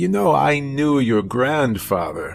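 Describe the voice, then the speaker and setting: Over clear music in the background, a man uses a put-on character voice at medium pitch, speaking at a fairly slow pace with lively intonation. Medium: read story. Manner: calm, unhurried, controlled.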